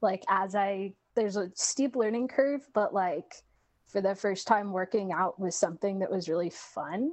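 This is an ordinary speaking voice from a woman with an American accent. Her pitch sits in the medium range and her pace is moderate. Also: ordinary pitch variation. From Washington State, US. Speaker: therapist. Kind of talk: casual chat, interview.

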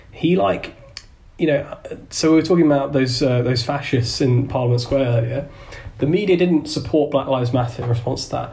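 Against noticeable background noise, a man with a London accent and fairly high pitch speaks at a fairly quick pace with very even loudness. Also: ordinary pitch variation. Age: 20s. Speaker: environmental activist. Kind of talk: casual chat.

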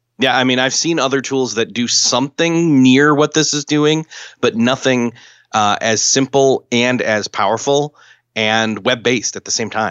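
A man talks at a moderate pace with a medium pitch. His is a normal speaking voice with ordinary pitch variation. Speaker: marketing tool tipster. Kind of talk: casual chat.

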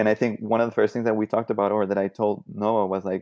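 A man with a Spanish accent speaks at a fairly low pitch with fairly even intonation in a dry, close sound with no echo, on a very clean recording with a silent background. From Colombia. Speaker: artist. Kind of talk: casual interview chat.

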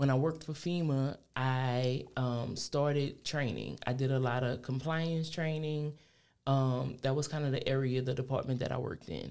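A woman with a south Louisiana accent, a very deep, low pitch, fairly even intonation and a moderate pace. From Louisiana, New Iberia. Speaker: entrepreneur and small farmer. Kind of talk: casual interview.

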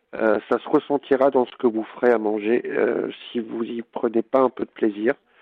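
A man's medium-pitched voice at a moderate pace, monotone and flat in intonation, with big swings in loudness. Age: 40s. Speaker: home cook and food influencer. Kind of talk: casual interview. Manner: hesitant, many fillers.

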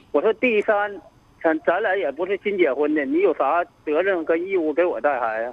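A man with a high voice talks at a moderate pace with lively intonation. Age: 30s. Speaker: radio call-in caller. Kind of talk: phone-in advice call. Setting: phone call. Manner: halting.

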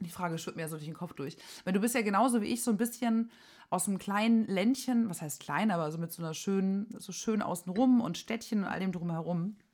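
An animated, somewhat breathy woman's voice at medium pitch and a fairly quick pace, with ordinary pitch variation, on a very clean recording with a silent background. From southern Germany, Swabia/Franconia border. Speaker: podcast co-host. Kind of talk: casual chat.

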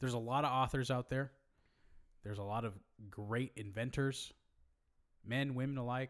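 On a very clean recording with a silent background, a man with an American accent speaks at a moderate pace in an animated tone and a medium-pitched voice, leaving long, frequent pauses. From US West Coast (Hayward, California). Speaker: podcast co-host. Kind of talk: casual chat.

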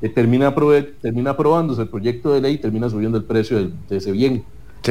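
A man talks at a very fast pace. His medium-pitched voice has a dark, mellow tone. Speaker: legislative candidate, consumer rights advocate. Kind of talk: political debate.

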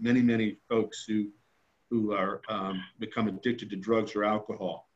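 Using a normal speaking voice, a man talks with an American accent at a medium pitch. His intonation stays fairly even. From New Jersey. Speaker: author and foundation founder. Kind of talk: interview testimony.

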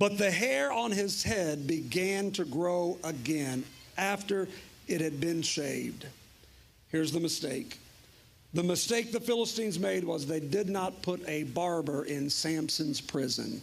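A man speaks at a fairly slow pace in a high pitch, with ordinary pitch variation and very even loudness. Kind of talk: sermon with altar call. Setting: church with congregation. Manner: animated, urgent, rhythmic repetition.

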